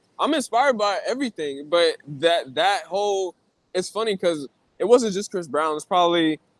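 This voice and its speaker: A high-pitched man at a moderate pace, with lively intonation and a dry, close sound with no echo. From Brooklyn, New York. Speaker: rapper. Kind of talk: casual interview chat.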